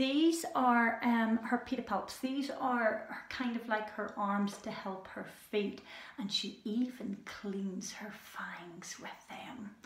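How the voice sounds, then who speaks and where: A woman speaks very slowly in a fairly high voice with a Scottish accent and ordinary pitch variation. Her loudness swings widely, with noticeable background noise and audible room echo. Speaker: children's animal show presenter. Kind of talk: educational talk for children. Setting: indoors with animals at night. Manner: hesitant with fillers; soft-spoken, lowered voice.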